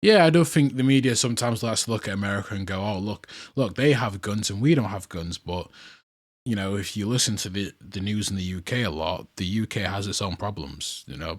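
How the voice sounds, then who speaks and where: A man's fairly low voice with a British accent, a fairly quick pace and lively intonation, on a very clean recording over a silent background. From UK. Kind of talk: street interview. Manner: casual, conversational.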